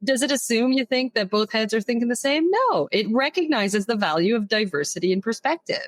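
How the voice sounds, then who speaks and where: Speaking at a fairly quick pace with hardly any pauses, a woman keeps a very even loudness, her fairly high voice carrying lively intonation. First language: French. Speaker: HR consultant and leadership coach. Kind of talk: podcast interview.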